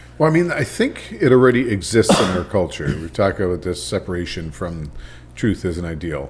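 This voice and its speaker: With lively intonation and a very deep, low pitch, a man speaks over noticeable background noise. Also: fairly quick pace. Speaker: podcast host. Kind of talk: casual podcast conversation.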